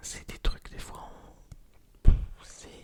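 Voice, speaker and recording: A man whispering in a relaxed tone, with noticeable background noise. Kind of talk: ASMR whispered storytelling of personal anecdotes. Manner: whispered, soft-spoken, relaxed; casual, rambling, conversational.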